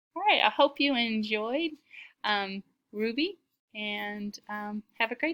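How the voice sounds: A natural reading voice with ordinary pitch variation comes through over a quiet background.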